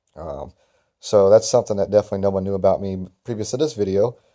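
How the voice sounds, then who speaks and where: A man talks at a very fast pace with a fairly low pitch and a dark, mellow tone. The recording is very clean, with a silent background. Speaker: lawn care business owner. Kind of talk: casual vlog talk. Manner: hesitant, many fillers.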